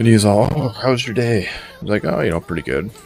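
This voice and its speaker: Music plays behind the speaker. The delivery is very fast. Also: man. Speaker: gaming streamer. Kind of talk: live gameplay commentary.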